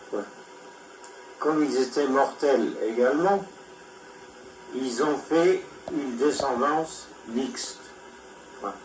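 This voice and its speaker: Against noticeable background noise, a man with a fairly high voice speaks at a very slow pace. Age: 80s+. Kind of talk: personal lecture read from notes.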